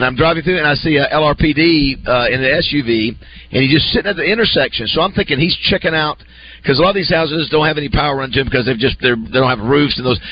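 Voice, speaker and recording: The man rattles off his words very fast with ordinary pitch variation while noticeable noise sounds behind him. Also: fairly high pitch for a man. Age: 30s. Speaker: radio host. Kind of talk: casual chat.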